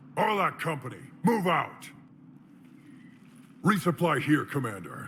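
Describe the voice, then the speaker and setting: Putting on a character voice, a man talks at a moderate pace in a high pitch with lively intonation. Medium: video game. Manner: gruff, blunt.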